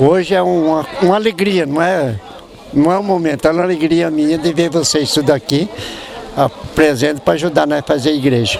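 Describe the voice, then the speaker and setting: With noticeable background noise behind him, a fairly high-pitched man speaks at a moderate pace with ordinary pitch variation and very even loudness. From Botucatu area, São Paulo state, Brazil. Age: 70s. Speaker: elderly local resident. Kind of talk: interview.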